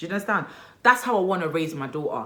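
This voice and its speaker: A Nigerian-accented woman sounds animated, her pitch swinging very widely. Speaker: lifestyle vlogger and mother. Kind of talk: casual vlog monologue. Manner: animated, conversational.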